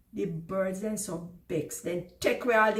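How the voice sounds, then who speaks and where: Over noticeable background noise, a woman speaks at a fairly slow pace in a Jamaican accent. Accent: Jamaican Creole dialect. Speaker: storyteller. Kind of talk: children's folk story reading.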